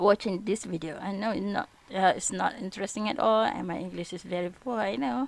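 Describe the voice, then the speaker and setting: A woman speaks at a fairly quick pace with a Malaysian accent. Her pitch is medium, and vocal fry runs through her voice. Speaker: vlogger practising English. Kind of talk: casual vlog, language practice. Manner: halting, hesitant.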